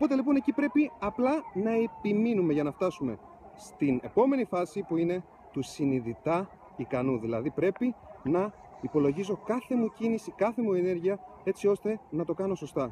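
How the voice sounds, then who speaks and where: Moderately paced male speech, high in pitch, with very wide swings in pitch. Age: 30s. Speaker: motivational vlogger. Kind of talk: motivational vlog. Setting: outdoors in ski resort.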